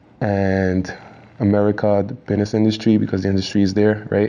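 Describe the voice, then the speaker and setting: Speaking in a Quebec accent, a man with a fairly low pitch keeps a monotone, flat intonation over noticeable background noise. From Quebec, Montreal. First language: French. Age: young. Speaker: rapper. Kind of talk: casual interview. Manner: halting, many repetitions and fillers.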